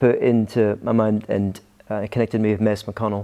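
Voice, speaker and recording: A man with an American accent at medium pitch, a dark, mellow tone and a moderate pace, over a quiet background. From Scotland. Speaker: pastor. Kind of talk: interview.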